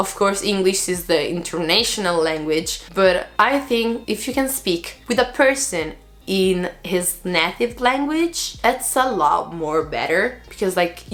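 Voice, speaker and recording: Speaking at a fairly slow pace with hardly any pauses, a woman with an Italian accent uses a medium pitch that swings very widely. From Italy. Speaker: vlogger, former exchange student. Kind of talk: casual vlog talk. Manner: hesitant, many fillers.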